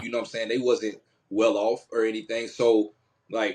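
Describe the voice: A man's fairly low voice, slightly mellow with a slightly husky edge, little pitch movement and a moderate pace.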